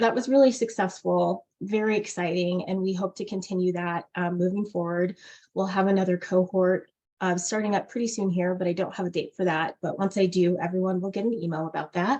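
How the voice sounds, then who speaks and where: Fairly quick speech from a woman at a medium pitch, with fairly even intonation. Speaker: nonprofit staff presenter. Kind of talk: meeting presentation. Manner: fast.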